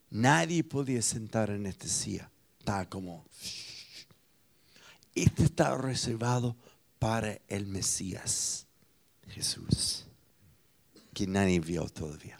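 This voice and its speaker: Speaking very slowly with long, frequent pauses, a man with an American accent has a fairly low pitch and big swings in loudness. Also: lively intonation. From United States. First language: English (speaking Spanish). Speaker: pastor. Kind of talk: sermon.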